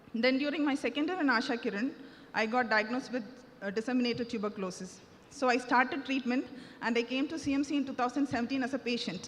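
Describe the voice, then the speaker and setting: Speaking at a very fast pace, a woman has a high pitch and ordinary pitch variation. Noticeable background noise runs underneath. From India, Tamil Nadu (Nagercoil). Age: 30s. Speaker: surgeon giving church testimony. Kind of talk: testimony. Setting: church service.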